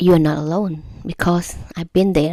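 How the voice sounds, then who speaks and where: A woman with a non-native accent speaks at a moderate pace in a dark, mellow tone, with fairly low pitch and fairly even intonation, on a very clean recording with a silent background and a dry, close sound with no echo. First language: not English. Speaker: YouTuber giving language-learning tips. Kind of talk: casual tutorial to camera. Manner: halting, with self-corrections and repetitions.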